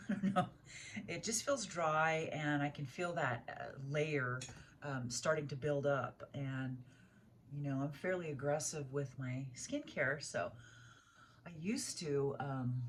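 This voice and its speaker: Fairly slow, somewhat breathy speech from a woman with a very deep, low pitch, ordinary pitch variation and long, frequent pauses. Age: 60s. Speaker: beauty vlogger. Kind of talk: tutorial. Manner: casual, hesitant with many fillers.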